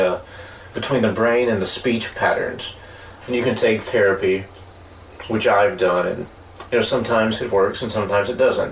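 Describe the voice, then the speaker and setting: The man's voice sits at a medium pitch. Audible room echo and noticeable background noise surround it. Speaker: podcast co-host. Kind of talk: casual chat.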